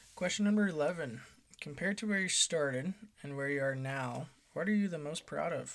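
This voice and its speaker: This man has an ordinary speaking voice, pitched fairly high. His pitch varies in an ordinary way, and he keeps a moderate pace. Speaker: fiance asking questions. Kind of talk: casual interview questions.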